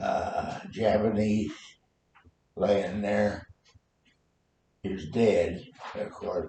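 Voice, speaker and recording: Speaking in an American accent, a man talks at a very slow pace. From Nebraska. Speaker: war veteran. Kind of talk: interview answer.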